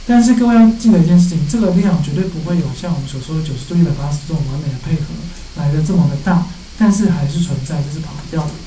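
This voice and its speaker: A man talks at a very fast pace with ordinary pitch variation. There is light background noise and audible room echo. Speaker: university lecturer. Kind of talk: lecture.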